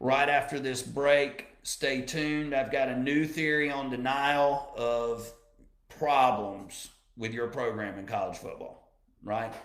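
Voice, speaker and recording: A man with an American accent speaks at a very slow pace and a fairly high pitch. His intonation is fairly even, and room echo is audible. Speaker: radio host. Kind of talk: live radio talk show.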